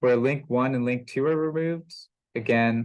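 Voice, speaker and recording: A man with a plain, everyday voice at a moderate pace, with ordinary pitch variation. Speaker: engineering instructor. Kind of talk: lecture.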